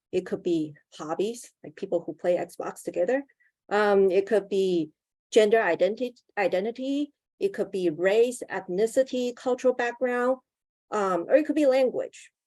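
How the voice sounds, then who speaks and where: In a Mandarin accent, a woman with a fairly high pitch and a dark, mellow tone speaks with lively intonation in a dry, close sound with no echo. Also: moderate pace. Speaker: union campaigner. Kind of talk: webinar panel presentation.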